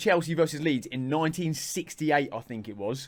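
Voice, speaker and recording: A man speaks with a southern English accent. His pitch is fairly high. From southern England. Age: 20s. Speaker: content creator. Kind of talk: casual chat.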